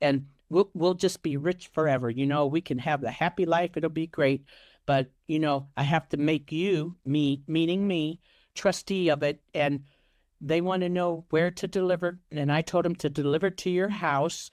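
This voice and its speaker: A woman speaks at a very deep, low pitch with an American accent. The background is quiet. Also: fairly even intonation, moderate pace. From Ohio, USA. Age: 60s. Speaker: romance scam victim. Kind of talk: interview answer.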